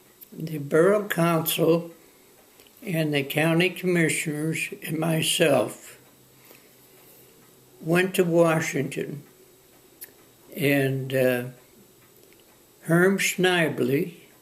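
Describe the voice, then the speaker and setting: A man's fairly high-pitched voice at a very slow pace, fairly even in intonation, with long, frequent pauses and noticeable background noise. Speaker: former newspaper publisher and land use administrator. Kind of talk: oral history interview answer. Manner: hesitant, halting.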